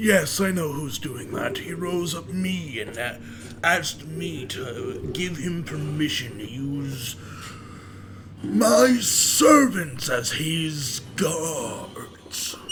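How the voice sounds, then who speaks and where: Against clear background noise, a man uses a put-on character voice at a fairly high pitch and a very slow pace. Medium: actual play. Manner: pompous, condescending.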